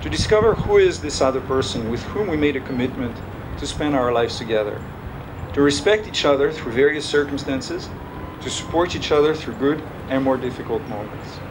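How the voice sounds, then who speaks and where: With room echo and noticeable background noise, a man speaks fairly quickly in a fairly high pitch and lively intonation. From France. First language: French. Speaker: father of the groom. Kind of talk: wedding speech. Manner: halting.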